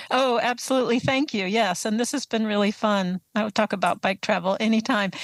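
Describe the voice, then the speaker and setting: With a plain, everyday voice and an American accent, a woman talks at a fairly quick pace with very even loudness and ordinary pitch variation, in a dry, close sound with no echo. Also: fairly high pitch for a woman. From US East Coast (Atlanta, Baltimore, Boston). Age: 60s. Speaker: author and touring cyclist. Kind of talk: interview.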